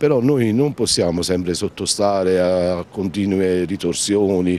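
Speaking at a fairly slow pace with ordinary pitch variation, a man is heard in a dry recording with no echo. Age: 50s. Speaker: shopkeeper spokesman. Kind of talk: news interview. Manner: halting. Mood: frustrated, complaining. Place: street. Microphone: handheld.

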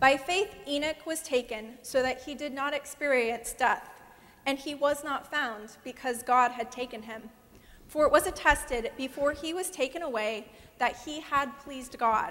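A woman's high voice rises and falls a lot in loudness. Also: ordinary pitch variation, moderate pace. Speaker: guest preacher. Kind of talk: sermon. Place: church. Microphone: lapel.

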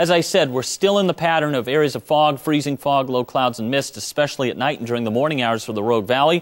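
Over a quiet backdrop, a man delivers his words fairly quickly. His pitch rises and falls in a lively way. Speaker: TV meteorologist. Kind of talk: local TV weather forecast, reading temperatures and fog advisories off a map. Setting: TV studio. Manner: steady, friendly newsroom delivery, brisk run through town-by-town numbers; calmly cautionary, adds gentle safety reminders to viewers. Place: studio.

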